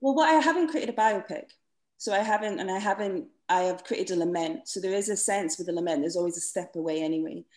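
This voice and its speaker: A woman at a very fast pace with a Scottish accent and a medium pitch, against a quiet background. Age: 40s. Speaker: playwright. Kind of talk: panel discussion. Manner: halting.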